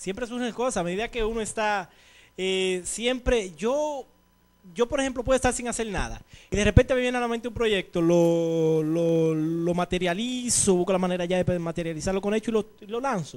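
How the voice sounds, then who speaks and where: With ordinary pitch variation, the voice keeps a moderate pace. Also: man, high pitch for a man. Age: 40s. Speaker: TV show host, youth worker; TV show host. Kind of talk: interview. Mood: earnest, motivational. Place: studio. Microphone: handheld.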